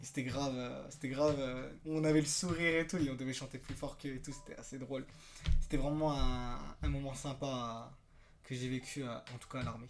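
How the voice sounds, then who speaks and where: A man's medium-pitched voice at a fairly quick pace, monotone and flat in intonation, with big swings in loudness and audible room echo. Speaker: YouTuber, former army recruit. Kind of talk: casual vlog storytelling. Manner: fast, many hesitations.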